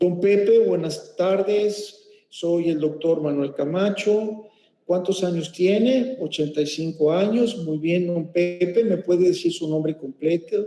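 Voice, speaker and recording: Very slow speech from a man, high in pitch, with ordinary pitch variation and audible echo from the room. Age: 50s. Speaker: medical professor. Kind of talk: lecture.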